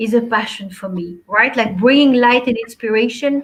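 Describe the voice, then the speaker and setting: A high-pitched woman speaks with a French accent at a moderate pace. Her intonation is fairly even. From Belgium, Antwerp. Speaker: life and business coach. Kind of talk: talk show interview.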